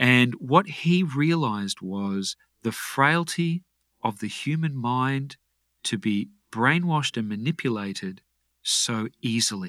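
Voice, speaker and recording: Over a very clean recording with a silent background, a man with an Australian accent speaks very slowly at a medium pitch, with lively intonation and a bright, sharp tone. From Australia (Brisbane, Queensland). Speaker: health and fitness coach. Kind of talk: interview.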